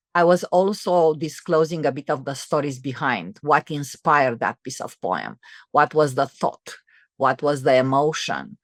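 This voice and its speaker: On a very clean recording with a silent background, a woman with a Romanian accent speaks at a moderate pace in a very deep, low pitch with ordinary pitch variation, the sound dry and close with no echo. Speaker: entrepreneur and author. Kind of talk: interview conversation. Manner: halting, many fillers and restarts.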